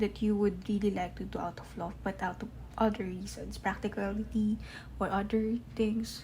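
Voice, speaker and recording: Speaking at a moderate pace, a woman has a non-native accent. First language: not English. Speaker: tarot reader. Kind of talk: tarot reading to camera.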